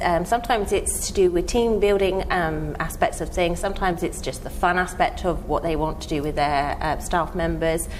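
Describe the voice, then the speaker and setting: Hardly pausing, the speaker talks at a moderate pace in a southern English accent. Room echo is audible, and background noise is noticeable. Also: woman. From southern England, near Windsor. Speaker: event planner. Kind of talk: interview.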